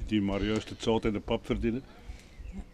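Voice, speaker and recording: Over light background noise, a man with a Flemish accent speaks at a medium pitch. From Flanders, Belgium. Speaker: retired rural policeman. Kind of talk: casual street conversation. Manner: spontaneous, fluent. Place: street.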